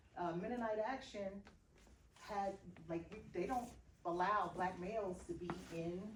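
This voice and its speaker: A woman is heard with audible room echo. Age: 60s. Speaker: activist. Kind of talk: group discussion.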